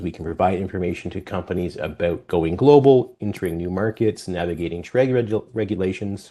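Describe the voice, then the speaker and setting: The speaker has a dark, mellow tone and a Canadian accent, with ordinary pitch variation. Delivery is fairly quick against a quiet background. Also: man. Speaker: export finance presenter. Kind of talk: webinar presentation. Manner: fast.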